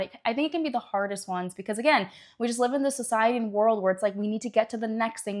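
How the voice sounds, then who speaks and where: A woman's animated tone at fairly high pitch with ordinary pitch variation, on a very clean recording with a silent background. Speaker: naturopathic doctor. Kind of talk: educational talk to camera. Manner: fast.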